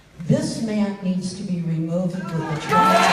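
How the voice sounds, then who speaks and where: Someone speaks at a fairly slow pace in an American accent, with ordinary pitch variation. Audible room echo and noticeable background noise surround the voice. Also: woman. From New York State, Buffalo. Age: 70s. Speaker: town hall attendee asking a question. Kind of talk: public comment at town hall. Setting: public town hall meeting.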